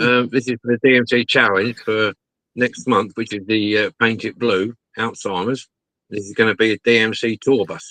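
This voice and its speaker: A man with an English accent speaks at a medium pitch in a bright, sharp tone. His intonation is monotone and flat. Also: moderate pace, dry, close sound with no echo. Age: 60s. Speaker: model restorer. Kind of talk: casual chat.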